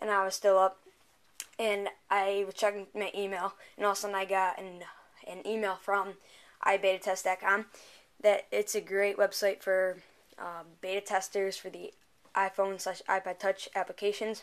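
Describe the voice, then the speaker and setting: A woman speaks in a monotone, flat intonation. Her delivery has long, frequent pauses. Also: moderate pace. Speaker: app reviewer. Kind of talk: casual tutorial review. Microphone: camera far.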